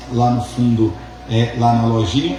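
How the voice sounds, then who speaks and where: A man holds a moderate pace while audible room echo and noticeable background noise surround him. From interior of São Paulo state, Vale do Paraíba. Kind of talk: sermon.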